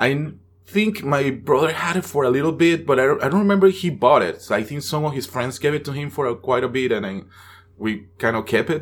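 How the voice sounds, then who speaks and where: A man with a Venezuelan accent speaks fairly quickly, his fairly high pitch marked by lively intonation. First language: Spanish. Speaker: actor. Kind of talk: casual chat.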